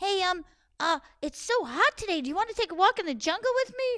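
A put-on character voice squeaks out at an extremely high pitch and a fairly quick pace. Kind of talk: children's folk-tale storytelling. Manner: friendly, coaxing, scheming.

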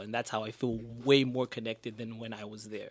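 An ordinary speaking voice from a man, medium in pitch with fairly even intonation, moving at a fairly quick pace in a very clean recording with a silent background. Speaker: student panelist. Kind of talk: radio panel discussion. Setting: radio studio.

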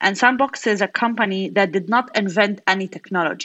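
At a moderate pace, a woman with an Arabic accent speaks at a medium pitch with ordinary pitch variation. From Gaza, Palestine. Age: 30s. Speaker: entrepreneur and engineer. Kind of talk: interview.

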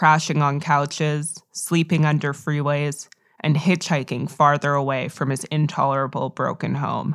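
In a very clean recording with a silent background, a woman speaks with an American accent at a moderate pace, her very deep, low pitch held in a monotone, flat intonation. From United States. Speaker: podcast host, writer and editor. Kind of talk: scripted narration.

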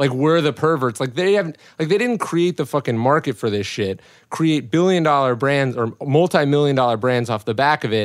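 A man with a fairly high pitch talks at a fairly quick pace in an unremarkable speaking voice, his intonation lively. The recording is very clean, with a silent background. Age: 20s. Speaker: author and former publicist. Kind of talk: casual chat. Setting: hot recording room.

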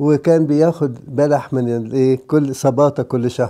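A man with an Egyptian accent, his tone dark and mellow, speaking at a very slow pace with fairly even intonation, in a very clean recording with a silent background. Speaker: priest. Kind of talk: sermon.

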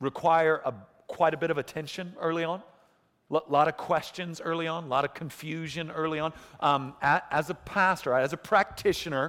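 A man speaks loudly at a moderate pace, his fairly high pitch and bright, sharp tone captured in a very clean recording with a silent background. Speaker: preacher. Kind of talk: sermon. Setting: church. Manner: animated, joking.

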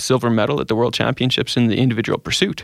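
A man with an Albertan accent speaks with medium pitch, fairly even intonation and vocal fry, in a very clean recording with a silent background and a dry, close sound with no echo. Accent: Canadian (Alberta). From Edmonton, Alberta, Canada. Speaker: accountant and paracyclist. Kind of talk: interview.

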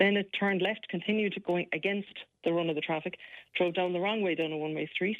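With an Irish accent, a woman speaks at a fairly quick pace in a medium pitch with fairly even intonation. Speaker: police sergeant. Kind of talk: radio interview.

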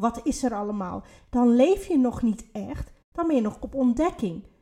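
Fairly slowly, a woman talks in a high pitch with a dark, mellow tone and ordinary pitch variation. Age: 30s. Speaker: podcast co-host, spiritual coach. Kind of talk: casual chat.

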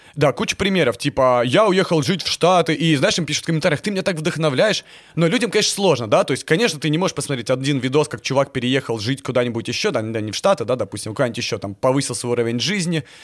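The recording is very clean, with a silent background. In it, a man speaks very fast. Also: fairly high pitch for a man. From Crimea (Yevpatoria). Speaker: documentary filmmaker and blogger. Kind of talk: casual chat. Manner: animated.

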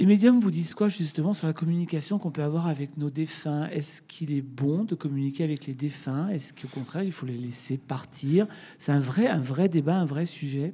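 A woman speaks at a moderate pace with hardly any pauses, her pitch very deep and low with ordinary variation. Her tone is dark and mellow. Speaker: radio host and interviewer. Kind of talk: live interview moderation. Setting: stage with live audience.

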